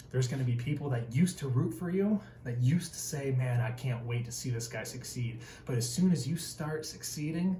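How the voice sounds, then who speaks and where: Audible room echo surrounds a man of medium pitch who speaks with an American accent. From Northern Michigan, rural. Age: 20s. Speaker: tradesman and motivational video host. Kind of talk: motivational talk to camera. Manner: animated.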